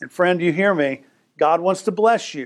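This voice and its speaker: The pace is moderate as a man talks. His pitch shifts in an ordinary way. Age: 50s. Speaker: preacher. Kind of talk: sermon. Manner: animated.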